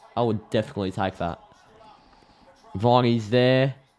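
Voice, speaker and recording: A man in an Australian accent, with ordinary pitch variation. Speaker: AFL live stream host. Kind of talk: live commentary. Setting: live stream. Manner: sounds sarcastic.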